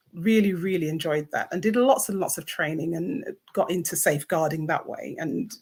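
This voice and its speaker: A woman talks at a very fast pace, fairly low in pitch and somewhat breathy. Her intonation is lively. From England. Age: 60s. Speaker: author and safeguarding consultant. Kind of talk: interview.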